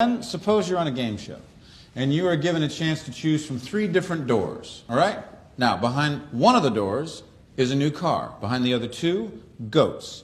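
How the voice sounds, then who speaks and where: A man speaks at a moderate pace with very wide swings in pitch. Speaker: professor. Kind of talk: lecture. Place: classroom.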